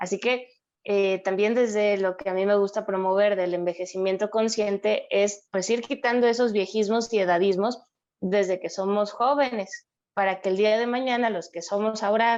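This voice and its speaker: Her medium pitch and fairly even intonation mark a woman speaking at a moderate pace in an ordinary speaking voice. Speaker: psychologist. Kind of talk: interview.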